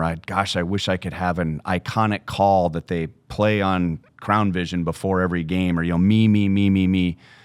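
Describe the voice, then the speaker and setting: A man with a very deep, low pitch talks at a fairly quick pace and with fairly even intonation amid noticeable background noise. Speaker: baseball play-by-play broadcaster. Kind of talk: podcast interview answer.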